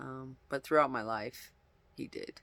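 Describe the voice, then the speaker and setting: The speaker is a man at a moderate pace. He talks quietly. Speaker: vlogger. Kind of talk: casual monologue.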